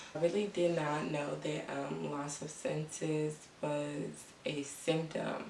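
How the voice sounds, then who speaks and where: With noticeable background noise behind her, a woman speaks in a very deep, low pitch with monotone, flat intonation. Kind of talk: casual talk to camera. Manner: slow.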